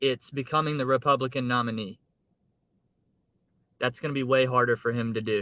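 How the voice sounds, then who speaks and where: Fairly quick yet broken by long, frequent pauses, a man speaks at a medium pitch in a bright, sharp tone with fairly even intonation. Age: 20s. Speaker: gig economy driver and livestreamer. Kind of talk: casual livestream chat. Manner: casual, hesitant with repetitions.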